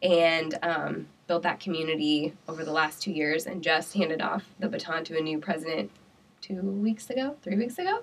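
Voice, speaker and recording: With noticeable background noise, a woman speaks at a moderate pace and a fairly low pitch, with ordinary pitch variation. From Iowa (Pella). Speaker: entrepreneur. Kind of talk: interview.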